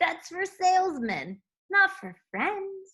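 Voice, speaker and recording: In a put-on character voice, a woman speaks very slowly at an extremely high pitch with a gruff edge. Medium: read story.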